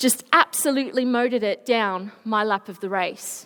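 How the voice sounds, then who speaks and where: A woman with an Australian accent is speaking. Her tone is animated. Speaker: Paralympic swimmer, motivational speaker. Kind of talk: school presentation. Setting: school assembly stage.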